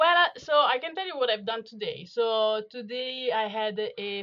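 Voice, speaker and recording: Very slowly, a woman with an Italian accent speaks with ordinary pitch variation. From Italy. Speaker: veterinary dental specialist. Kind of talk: interview.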